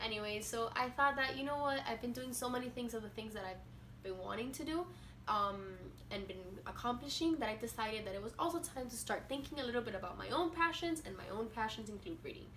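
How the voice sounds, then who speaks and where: Over noticeable background noise and audible room echo, a woman with a Spanish accent speaks at a fairly quick pace. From Venezuela. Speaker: booktuber. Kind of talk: casual vlog talk. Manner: halting, with fillers.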